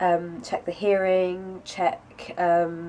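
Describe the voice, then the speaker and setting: A fairly low-pitched woman with a British accent and monotone, flat intonation. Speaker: vlogger. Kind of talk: casual vlog update.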